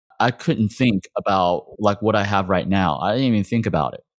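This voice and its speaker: A man with an American accent has an unremarkable speaking voice, fairly low in pitch, with ordinary pitch variation. The sound is dry and close with no echo, on a very clean recording with a silent background. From Texas. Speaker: acupuncturist and practice owner. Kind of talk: interview conversation.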